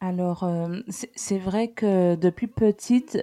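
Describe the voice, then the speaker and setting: In a dry, close sound with no echo, a woman speaks at a medium pitch with a dark, mellow tone and ordinary pitch variation. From Guadeloupe. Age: 30s. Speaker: single mother, civil servant. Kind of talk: personal testimony interview.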